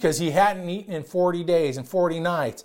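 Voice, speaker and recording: The man speaks loud, with a high pitch. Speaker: pastor. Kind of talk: sermon. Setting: church. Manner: loud talker; hesitant, repeats words.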